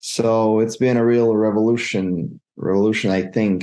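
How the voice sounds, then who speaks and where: With a Montenegrin accent, a man speaks at a moderate pace in a fairly low, dark, mellow voice, his intonation fairly even against a quiet background. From Montenegro. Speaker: freelance web developer. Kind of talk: interview. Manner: halting, repeats words.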